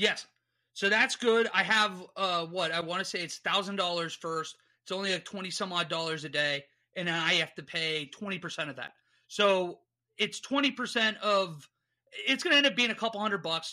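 A raised, projected voice with a bright, sharp tone, ordinary pitch variation and a moderate pace, on a very clean recording with a silent background. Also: man, high pitch for a man. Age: 30s. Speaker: sports podcast host. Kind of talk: casual chat.

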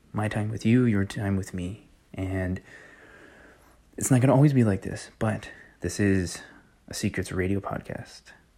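A man talks at a moderate pace with long, frequent pauses, his voice fairly low, dark and mellow with ordinary pitch variation. The recording is very clean, with a silent background. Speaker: podcast host on network marketing. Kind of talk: solo podcast monologue. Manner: quieter than usual; intimate, low-key.

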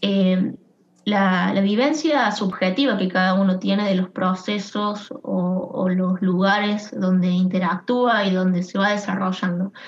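Against noticeable background noise, a woman talks at a fairly slow pace with medium pitch, very even loudness and ordinary pitch variation. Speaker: HR consultant, co-founder. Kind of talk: interview.

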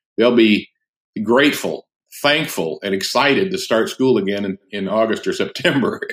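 A man talks at a medium pitch. His pitch swings very widely. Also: moderate pace. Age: 60s. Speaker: pastor and author. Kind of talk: casual interview. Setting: remote call.

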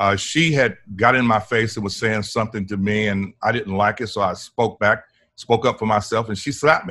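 This man with an American accent talks at a fairly quick pace, his fairly low voice bright and sharp in tone with ordinary pitch variation. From Port Arthur, Texas (Gulf Coast). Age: 60s. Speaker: environmental justice activist. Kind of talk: interview.

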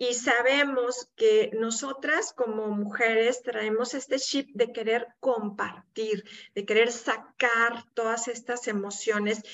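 At a very slow pace, a woman speaks in a fairly high pitch with monotone, flat intonation. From Mexico, Monterrey (Nuevo León). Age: 50s. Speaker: support group founder. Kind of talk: interview.

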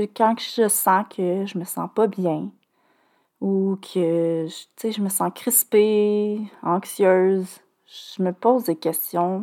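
A woman's medium-pitched voice with a Quebec accent, dark and mellow in tone, fairly even in intonation, at a very slow pace, in a very clean recording with a silent background. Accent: Québécois French. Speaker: podcast host, cancer survivor. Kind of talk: personal testimony monologue. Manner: hesitant, many filler sounds.

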